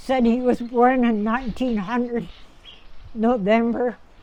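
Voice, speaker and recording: A woman speaks in a high, monotone voice with flat intonation and a Canadian Prairie accent, leaving long, frequent pauses. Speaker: Métis elder. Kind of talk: oral history storytelling. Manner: reflective, conversational.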